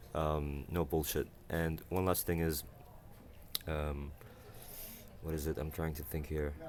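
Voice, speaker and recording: A man with an Arabic accent speaks in a very deep, low voice with flat, monotone intonation. He leaves long, frequent pauses. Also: fairly slow pace. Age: 20s. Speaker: university student, vlogger. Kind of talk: casual vlog monologue. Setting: university library. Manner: halting, many fillers and self-corrections.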